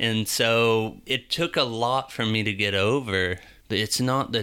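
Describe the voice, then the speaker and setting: Fairly even in intonation and fairly low in pitch, a man talks in a plain, everyday voice. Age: 20s. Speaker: electrician sharing faith testimony. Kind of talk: testimony.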